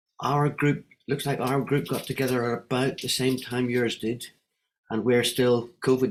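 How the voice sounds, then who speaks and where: A Northern Irish accent at a moderate pace. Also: man. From Northern Ireland. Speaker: wellbeing economy advocate. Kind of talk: online panel discussion.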